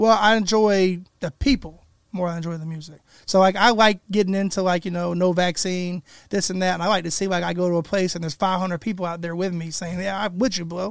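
A man's high voice at a very fast pace, fairly even in intonation, in a very clean recording with a silent background. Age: 30s. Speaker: rapper. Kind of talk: casual chat. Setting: studio.

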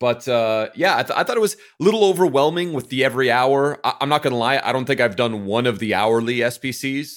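At a very fast pace, a man with a medium pitch talks using lively intonation. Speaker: FIFA player and content creator. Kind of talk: casual chat.

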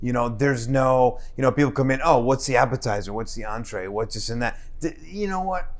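Speaking fairly quickly with a New Jersey accent, a man uses a medium pitch and lively intonation. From New Jersey, Newark. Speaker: chef and restaurant owner. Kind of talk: casual chat.

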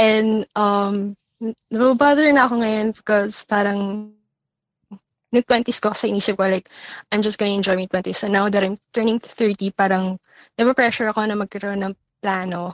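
A woman speaks with a Filipino accent at a fairly quick pace. Her intonation stays fairly even in a dry, close sound with no echo. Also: medium pitch for a woman. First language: Tagalog. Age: 20s. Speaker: listener caller seeking advice. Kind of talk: casual chat. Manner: halting, many fillers.

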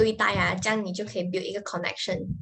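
Medium-pitched woman's speech, its pitch varying in an ordinary way. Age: 20s. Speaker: social media manager. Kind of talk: interview. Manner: halting.

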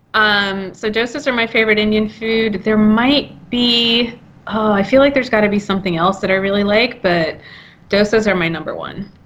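Against noticeable background noise, a woman talks at a fairly high pitch and moderate pace with ordinary pitch variation. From India, Mumbai. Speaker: podcast producer and co-host. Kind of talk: casual chat.

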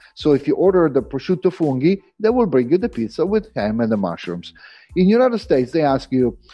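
Over music in the background, a man with a fairly high pitch speaks in an Italian accent. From Italy. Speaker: private chef. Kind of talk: interview.

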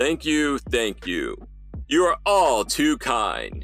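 Over clear background music, a man uses a put-on character voice at a very slow pace. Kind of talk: theater voice. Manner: grand, theatrical.

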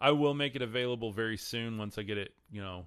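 The speaker talks at a very fast pace in a Texan accent. Pitch moves in an ordinary way. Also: man. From Texas. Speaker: podcast host and faith content creator. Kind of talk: live-streamed religious talk with chat reading. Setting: livestream. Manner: casual, filler-heavy.

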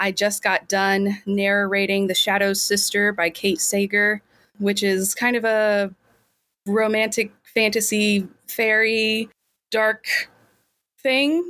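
Very slow and very even in loudness, a woman speaks with an American accent and a bright, sharp tone. Her intonation is fairly even on a very clean recording with a silent background. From Kansas. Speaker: fantasy author and audiobook narrator. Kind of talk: casual interview.

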